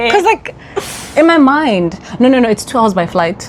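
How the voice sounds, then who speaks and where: With a South African accent, a woman speaks in an animated tone, her pitch swinging very widely. Noticeable background noise is present. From South Africa, Johannesburg. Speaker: vlogger. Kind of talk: casual chat.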